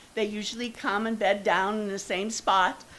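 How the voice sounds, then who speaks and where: A woman with an American accent and a fairly high pitch is heard with audible room echo. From northeast Ohio, Youngstown. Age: 70s. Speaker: resident speaking at public comment. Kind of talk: public comment at council meeting. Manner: halting.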